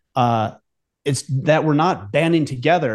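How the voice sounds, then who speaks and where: Using an ordinary speaking voice, a man with an American accent talks at a moderate pace with ordinary pitch variation. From United States. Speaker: podcast host. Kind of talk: casual chat.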